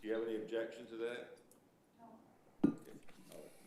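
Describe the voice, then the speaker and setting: Talking at a fairly quick pace, a man with a medium pitch is heard with audible room echo. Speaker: special magistrate presiding over code hearings. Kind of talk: formal hearing proceedings. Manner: loud.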